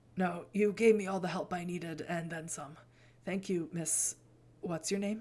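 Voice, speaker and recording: In a put-on character voice, someone speaks raspily at a middle pitch and a moderate pace. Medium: game stream. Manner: polite, shaky.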